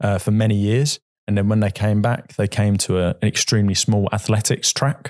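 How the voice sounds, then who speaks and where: The speech moves at a fairly quick pace with very even loudness and fairly even intonation. The sound is dry and close with no echo, over a quiet background. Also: man, fairly low pitch for a man. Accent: southern English. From England, Brighton. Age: 40s. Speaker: football club chairman. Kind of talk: podcast interview. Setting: studio.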